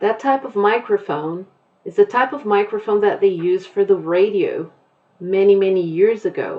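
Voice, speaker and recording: In a plain, everyday voice, a woman with medium pitch speaks at a moderate pace, with ordinary pitch variation and big swings in loudness. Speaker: English teacher. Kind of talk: online class lesson.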